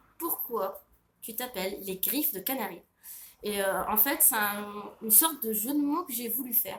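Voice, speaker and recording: At a fairly slow pace, a somewhat breathy woman speaks with big swings in loudness. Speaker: author and illustrator. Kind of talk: Q&A monologue to camera. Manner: hesitant, many fillers.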